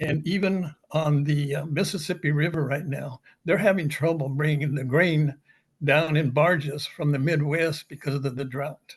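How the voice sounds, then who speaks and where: At a moderate pace, a man talks in a somewhat breathy, fairly high voice with fairly even intonation. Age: 80s+. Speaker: audience member, retired weather forecaster. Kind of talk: Q&A comment.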